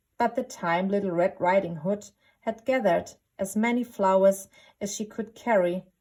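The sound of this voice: Ordinary pitch variation in an unforced reading voice, quiet background behind it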